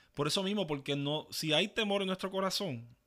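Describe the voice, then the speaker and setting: Someone speaks in a Puerto Rican accent at a moderate pace, with ordinary pitch variation. The recording is very clean, the background silent. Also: man. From Puerto Rico, east (Ceiba). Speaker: podcast co-host. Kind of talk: casual chat.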